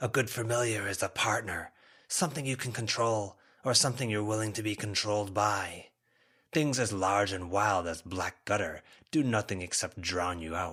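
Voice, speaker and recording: In a put-on character voice, a man speaks raspy and fairly low at a moderate pace. The recording is very clean, with a silent background. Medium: read story. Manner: rambling, rueful.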